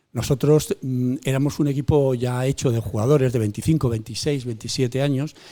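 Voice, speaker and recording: A man's medium-pitched voice with a dark, mellow tone, ordinary pitch variation and a fairly quick pace. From Spain, León province. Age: 70s. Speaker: retired football goalkeeper. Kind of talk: interview. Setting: in a bar.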